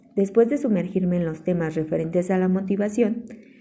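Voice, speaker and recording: A woman's somewhat breathy, dark, mellow tone at a medium pitch, with fairly even intonation and a moderate pace. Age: 20s. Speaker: environmental engineer and chemistry tutor. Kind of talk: scripted presentation. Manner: formal.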